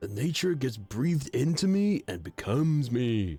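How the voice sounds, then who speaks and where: Over faint background music, a man puts on a character voice at a medium pitch, swinging his pitch very widely. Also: moderate pace. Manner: laid-back, relaxed.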